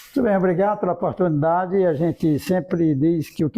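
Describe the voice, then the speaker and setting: Speaking at a very fast pace, a man uses a high pitch. His pitch variation is ordinary. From Ceará, Brazil (Jaguaribara, rural). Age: 70s. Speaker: business leader and former mayor. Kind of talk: interview, life story.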